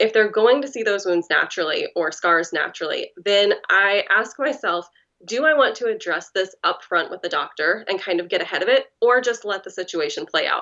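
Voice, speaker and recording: Lively in intonation, a woman talks at a fairly high pitch in a normal speaking voice with hardly any pauses. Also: moderate pace. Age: 30s. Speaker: writer with lived experience of self-injury. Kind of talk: interview.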